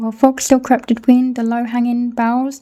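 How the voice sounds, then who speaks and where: A high-pitched woman's voice, monotone and flat, at a moderate pace over music in the background. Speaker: book reader. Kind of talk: reading aloud.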